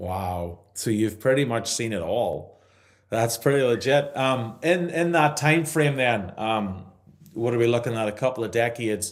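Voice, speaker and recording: A man with an Irish accent speaks at a fairly slow pace with lively intonation. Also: medium pitch for a man. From Ireland. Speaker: podcast host. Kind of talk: podcast interview. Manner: upbeat, energetic.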